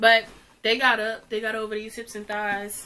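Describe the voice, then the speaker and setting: Her intonation monotone and flat, a woman keeps to a moderate pace. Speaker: fashion youtuber. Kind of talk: try-on haul. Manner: casual, filler-heavy.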